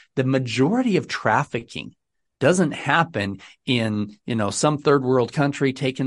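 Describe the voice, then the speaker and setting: A man at medium pitch and a moderate pace, with ordinary pitch variation and a quiet background. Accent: American. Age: 50s. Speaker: film executive producer and real estate investor. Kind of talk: interview.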